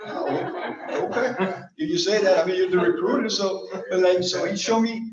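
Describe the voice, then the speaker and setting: Using very wide pitch swings, a man with a high voice speaks with a Colombian accent. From Medellin, Colombia. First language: Spanish. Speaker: Air Force master sergeant, squadron superintendent. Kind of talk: personal life story told to an audience.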